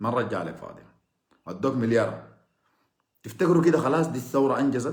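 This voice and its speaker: A man in a Sudanese accent speaks at a fairly quick pace with an animated tone and ordinary pitch variation. Audible room echo surrounds him. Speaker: political commentator. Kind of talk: political monologue. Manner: sarcastic.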